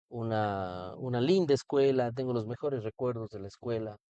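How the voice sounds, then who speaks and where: The tone is dark and mellow, with ordinary pitch variation at a moderate pace. The sound is dry and close, with no echo. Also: man. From Ecuador, Cuenca. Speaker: political candidate. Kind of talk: interview.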